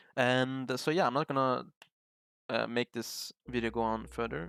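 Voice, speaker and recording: A man speaks with a non-native accent and ordinary pitch variation. Music plays in the background. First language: not English. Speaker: trading YouTuber. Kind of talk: casual tutorial talk. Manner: halting, many fillers.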